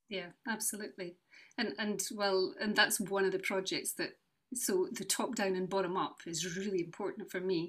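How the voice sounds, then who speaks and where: In a Scottish accent, a woman speaks at a moderate pace. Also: medium pitch for a woman, ordinary pitch variation. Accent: Scottish (Fife). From Scotland, North East Fife. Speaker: charity founder and brass teacher. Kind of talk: casual interview.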